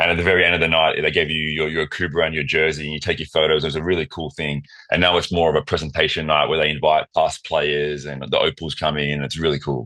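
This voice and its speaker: A man's very deep, low pitch at a very fast pace with monotone, flat intonation. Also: hardly any pauses. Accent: Australian. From Australia, Wollongong. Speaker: professional basketball player. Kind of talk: casual chat.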